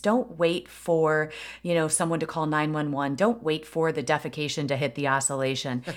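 A woman's fairly low voice with an American accent, at a moderate pace, on a very clean recording with a silent background. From US Midwest, Aurora, Illinois. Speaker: retired police chief. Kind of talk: interview conversation.

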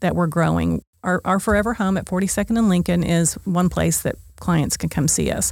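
Over a silent background in a very clean recording, a woman with an American accent speaks at a moderate pace in an unremarkable speaking voice, her pitch fairly low. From Oklahoma City, US. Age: 60s. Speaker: nonprofit founder and director. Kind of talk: interview. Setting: studio.

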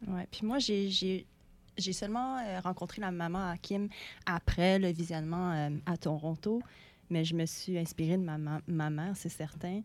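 In an ordinary speaking voice, a woman with a fairly low pitch speaks at a fairly slow pace with ordinary pitch variation, on a very clean recording with a silent background. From Montreal, Quebec. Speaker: actress. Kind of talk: interview.

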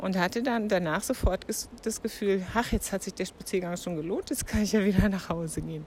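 A woman with an unremarkable speaking voice talks at a fairly quick pace, her medium pitch showing ordinary variation. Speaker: podcast host. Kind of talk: casual monologue. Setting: outdoors.

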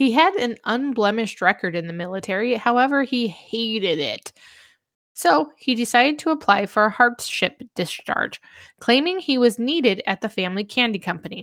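A woman speaks at a moderate pace with lively intonation on a very clean recording with a silent background. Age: 40s. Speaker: true crime podcast co-host. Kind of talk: reading researched narration; casual chat.

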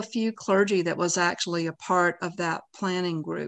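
A woman speaks with a bright, sharp tone. The background is quiet. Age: 60s. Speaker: pastor and podcast host. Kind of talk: casual conversation between mother and daughter. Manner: nervous about unscripted talk.

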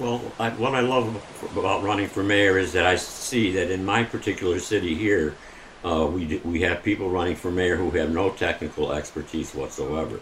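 Noticeable background noise behind a man's very deep, low voice with an American accent, moderate pace and ordinary pitch variation. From Pittsfield, Massachusetts. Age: 70s. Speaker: mayoral candidate. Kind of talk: radio interview.

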